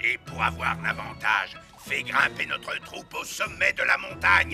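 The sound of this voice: A man puts on a cartoonish character voice at a medium pitch, bright and sharp with vocal fry and big pitch swings. He talks at a fairly slow pace while faint music plays in the background.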